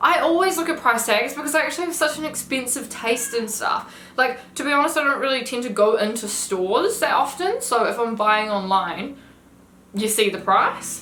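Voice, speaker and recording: A woman with a New Zealand accent speaks loudly in a high pitch. Her intonation is lively, and the room echo is audible. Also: moderate pace. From New Zealand, Whanganui. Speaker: lifestyle influencer. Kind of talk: casual chat.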